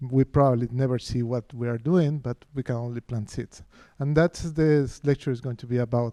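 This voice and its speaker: A man's dark, mellow voice with a Spanish accent and fairly even intonation, in a dry, close sound with no echo. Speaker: professor of architecture. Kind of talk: lecture. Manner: halting, many fillers and restarts.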